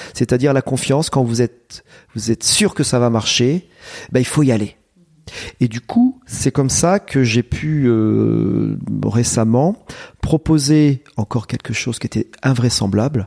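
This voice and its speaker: A man speaks at a fairly slow pace and medium pitch, with ordinary pitch variation. The sound is dry and close, with no echo. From France, Eure-et-Loir. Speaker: agricultural high school principal. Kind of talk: interview. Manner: hesitant, many fillers.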